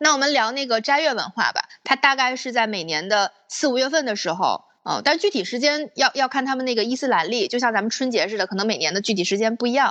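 The voice has a bright, sharp tone and lively intonation, delivered at a very fast pace. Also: woman, high pitch for a woman. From Northeast China, Panjin. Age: 30s. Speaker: former expat recounting life abroad. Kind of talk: casual chat.

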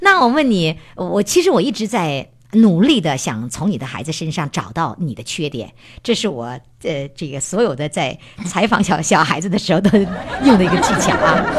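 Animated and somewhat breathy, a woman speaks at a fairly low pitch with very wide pitch swings. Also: moderate pace. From Heilongjiang, northeast China. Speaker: parenting program host. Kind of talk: interview.

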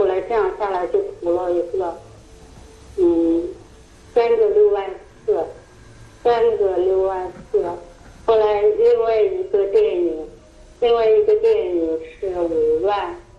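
Noticeable background noise and audible room echo surround a woman who speaks at a fairly slow pace with long, frequent pauses. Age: 60s. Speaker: fraud victim, retiree. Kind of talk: interview. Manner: hesitant, many fillers.

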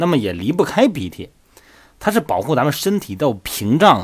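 A man talks at a moderate pace, his pitch swinging very widely, with vocal fry. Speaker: fitness coach podcast host. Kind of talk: casual explanatory monologue. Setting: solo audio recording. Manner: chatty, many filler particles.

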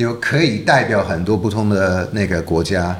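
In an English accent, a man with a fairly low pitch and a somewhat breathy voice talks at a moderate pace amid audible room echo. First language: English (speaking Chinese). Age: 40s. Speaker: documentary director. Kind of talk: casual interview. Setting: office.

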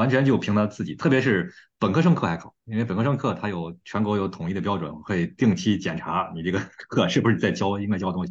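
A man rattles along at a very fast pace. His fairly low voice has lively intonation. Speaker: podcast host. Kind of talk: casual chat.

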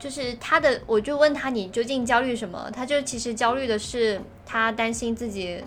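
Speaking in a plain, everyday voice, a woman talks at a fairly high pitch and moderate pace with ordinary pitch variation. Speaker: podcast co-host. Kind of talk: casual chat.

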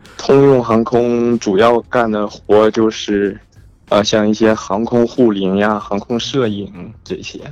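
Very slow speech with fairly even intonation and a slight northeastern Chinese accent, over noticeable background noise. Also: man, medium pitch for a man. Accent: northeastern Mandarin, slight. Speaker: aviation worker, air traffic related. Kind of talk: casual phone call chat. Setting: phone call.

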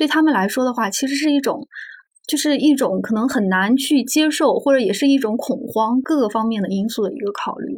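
A woman speaks at a high pitch and a fairly quick pace, with ordinary pitch variation. The recording is very clean, with a silent background. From northern Anhui, near Xuzhou. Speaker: magazine journalist. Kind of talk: podcast interview conversation.

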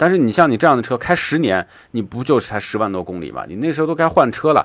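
A man at a very fast pace, his pitch swinging very widely, over a quiet background. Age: 40s. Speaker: car talk radio host. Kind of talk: live call-in radio show.

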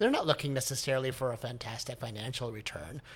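Speaking at a very fast pace, a man with an American accent sounds somewhat breathy, his medium pitch showing ordinary variation. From US. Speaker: Broadway producer and composer. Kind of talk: casual interview chat.

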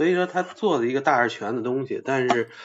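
A man is speaking at a very fast pace. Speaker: livestreamer. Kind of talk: casual chat. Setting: livestream voice connection. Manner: hesitant, many fillers.

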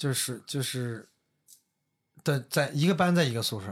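A man with a fairly high pitch sounds somewhat breathy and speaks with lively intonation. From Northeast China. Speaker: podcast guest telling personal stories. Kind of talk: casual chat.

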